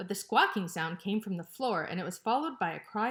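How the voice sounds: What you hear is a natural reading voice.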